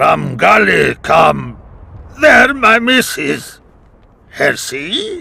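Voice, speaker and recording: A man shouts in a raspy, put-on character voice. He goes at a very slow pace with long, frequent pauses. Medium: video game. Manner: broken grammar, simple words.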